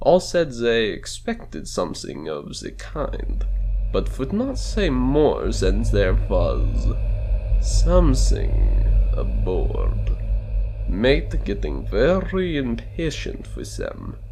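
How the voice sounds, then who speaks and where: Very slowly, a man speaks while background noise remains noticeable. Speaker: audiobook narrator. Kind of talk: dramatic audiobook reading.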